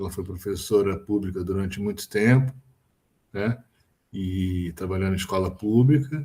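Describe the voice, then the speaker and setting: A man with a fairly low pitch and a dark, mellow, somewhat breathy tone speaks at a moderate pace with ordinary pitch variation and long, frequent pauses. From Brazil, Rio de Janeiro. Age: 60s. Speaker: physicist, professor. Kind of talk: interview. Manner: hesitant, with fillers.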